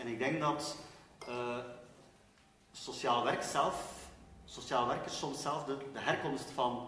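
Man with a West Flemish accent, medium pitch and ordinary pitch variation, audible room echo and light background noise. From West Flanders, Belgium. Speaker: social work lecturer; guest. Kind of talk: panel discussion. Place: hall. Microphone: pa.

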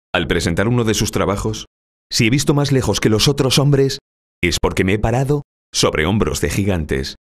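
Vocal fry runs through this moderate-paced speech over a quiet background. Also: man. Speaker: professional voice-over announcer. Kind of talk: corporate narration. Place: studio.

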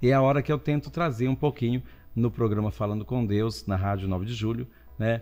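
The man's tone is dark and mellow at a medium pitch. He talks at a fairly quick pace with ordinary pitch variation. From Brazil, interior of São Paulo state. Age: 60s. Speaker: guest priest. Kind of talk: casual chat. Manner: animated. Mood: warm, humorous. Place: studio. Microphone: studio mic.

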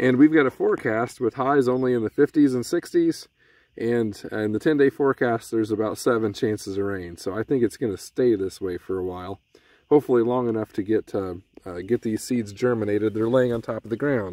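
The dark, mellow tone moves at a fairly quick pace with ordinary pitch variation and a dry sound with no echo. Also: man. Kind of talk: tutorial. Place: open country. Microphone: phone near.

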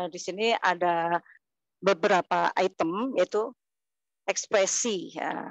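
A woman talks at a very slow pace with ordinary pitch variation. The sound is dry with no echo, and the background is quiet. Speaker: kindergarten teacher and dancer; kindergarten teacher. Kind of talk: online presentation. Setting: video call. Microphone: lapel.

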